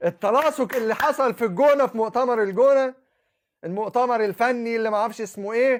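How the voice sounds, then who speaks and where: A man talks at a fairly quick pace in an animated tone, with extremely high pitch and ordinary pitch variation. The recording is very clean, with a silent background. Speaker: Islamic preacher. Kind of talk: monologue.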